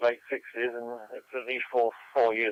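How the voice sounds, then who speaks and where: In a British accent, a man speaks at a medium pitch and moderate pace. His intonation stays monotone and flat. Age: 70s. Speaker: amateur radio operator. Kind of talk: radio net conversation. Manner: halting.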